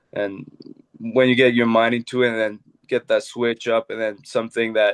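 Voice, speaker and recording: At a moderate pace, a man with a Quebec accent speaks in a medium pitch. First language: French. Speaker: professional hockey goalie. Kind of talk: podcast interview. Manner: halting.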